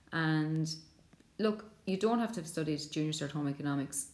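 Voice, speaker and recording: This voice has an Irish accent. The pace is fairly quick. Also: woman. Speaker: secondary school teacher. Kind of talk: school subject presentation.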